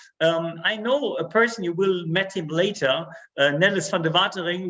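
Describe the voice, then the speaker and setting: A high-pitched man with a German accent, fairly quick delivery and fairly even intonation. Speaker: network marketing sales director. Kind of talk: stage speech. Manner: halting.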